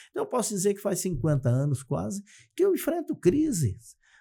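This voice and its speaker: A man's dark, mellow, somewhat breathy voice at a moderate pace, on a very clean recording with a silent background. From Brazil, Santa Catarina. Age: 60s. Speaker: economist and success methodologist. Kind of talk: podcast interview.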